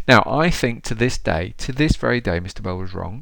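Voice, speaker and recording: This man talks at a fairly quick pace in a fairly low pitch, with vocal fry and ordinary pitch variation. The recording is very clean, with a silent background. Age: 50s. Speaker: podcast host. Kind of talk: personal storytelling.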